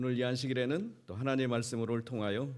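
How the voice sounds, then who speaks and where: A man speaks with a Chungcheong accent. His pace is fairly quick and his intonation fairly even. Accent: Chungcheong dialect, unchanged. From Korea, Chungcheong region. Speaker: pastor, guest speaker. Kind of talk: sermon. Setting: church, revival meeting with congregation.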